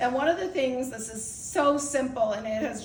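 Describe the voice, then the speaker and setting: Noticeable background noise and audible room echo surround a woman speaking at a high pitch with lively intonation. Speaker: outgoing club president. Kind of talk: farewell speech. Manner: fast.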